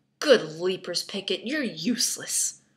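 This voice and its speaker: A growling put-on character voice at a moderate pace. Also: female-sounding voice, medium pitch for a woman. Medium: read story.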